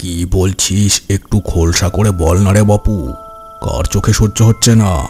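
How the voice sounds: Over faint music in the background, a man performs a cartoonish character voice, fairly low in pitch with fairly even intonation. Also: moderate pace.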